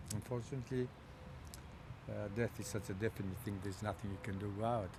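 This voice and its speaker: Very fast and somewhat breathy, a man speaks at a fairly low pitch with fairly even intonation. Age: 70s. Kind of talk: interview about a bereavement.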